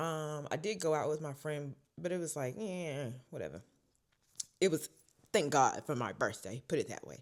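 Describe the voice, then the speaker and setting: A woman with a very deep, low pitch and vocal fry speaks at a moderate pace in an animated tone, with ordinary pitch variation, big swings in loudness, and long, frequent pauses, on a very clean recording with a silent background. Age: 20s. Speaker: vlogger. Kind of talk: casual chat.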